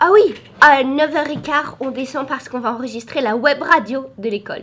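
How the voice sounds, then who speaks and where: A woman's voice sits at a high pitch and moves at a moderate pace. Her pitch varies in an ordinary way. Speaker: teacher and vlogger. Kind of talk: vlog. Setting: classroom.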